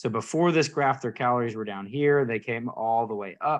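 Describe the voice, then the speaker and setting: A man at medium pitch with ordinary pitch variation, against a quiet background. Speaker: nutrition and fitness coach. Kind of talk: live training presentation to a group. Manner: fast; halting, many fillers and restarts.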